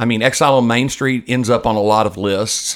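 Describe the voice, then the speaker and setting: The delivery is fairly slow, and the intonation holds fairly even. It is a normal speaking voice. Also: man. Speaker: podcast co-host. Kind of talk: casual podcast banter about music. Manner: jokey, laughs often.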